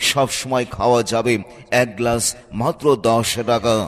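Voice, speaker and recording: Noticeable background noise sits behind a man whose voice has a medium pitch. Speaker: voice-over artist. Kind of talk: street promotion advertisement read.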